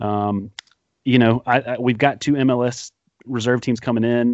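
A man with a plain, everyday voice and a medium pitch talks at a moderate pace. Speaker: guest soccer podcaster. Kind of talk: casual banter, sports talk podcast.

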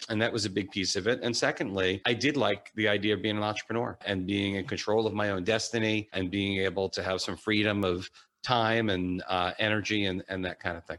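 In a normal speaking voice, a man with a fairly low pitch talks with fairly even intonation and hardly any pauses. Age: 40s. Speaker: financial advisor. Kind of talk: interview.

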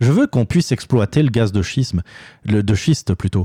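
A man's somewhat breathy, dark, mellow voice at medium pitch, with lively intonation and a moderate pace, in a very clean recording with a silent background and a dry, close sound with no echo. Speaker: opinion podcast host. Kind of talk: solo opinion monologue. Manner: halting, many fillers and repetitions.

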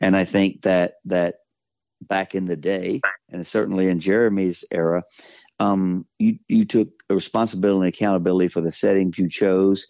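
A man's very deep, low voice in a Southern US accent at a moderate pace. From US South. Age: 50s. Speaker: podcast sponsor. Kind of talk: casual chat. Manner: animated.

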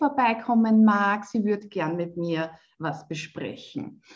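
A woman talks in a fairly high pitch, her voice somewhat breathy. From Lower Austria. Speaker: spiritual coach. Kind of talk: interview.

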